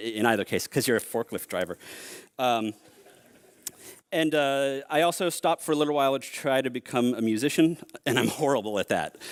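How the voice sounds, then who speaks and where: A man with an American accent at a medium pitch, lively intonation and a fairly quick pace, in a very clean recording with a silent background and a dry, close sound with no echo. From US Northeast, Boston. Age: 40s. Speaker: software engineering leader and keynote speaker. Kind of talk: conference keynote. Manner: casual, hesitant with many fillers.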